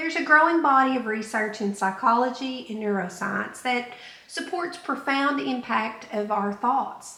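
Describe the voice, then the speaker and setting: A woman's high-pitched voice at a moderate pace, with very wide pitch swings and noticeable background noise. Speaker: self-help podcaster. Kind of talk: self-help podcast monologue. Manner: conversational, reflective.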